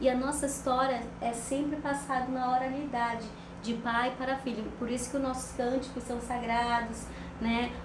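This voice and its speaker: A woman with a high-pitched voice speaks at a moderate pace in a monotone, flat delivery. Noticeable background noise and audible room echo fill the recording. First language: Ticuna (speaking Portuguese). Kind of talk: interview conversation. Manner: halting, with frequent fillers.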